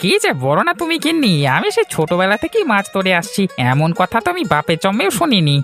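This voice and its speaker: Clear music plays behind a cartoonish character voice that is fairly high, swings very widely in pitch and moves at a fairly quick pace. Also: female-sounding voice. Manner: jovial, sweet-talking.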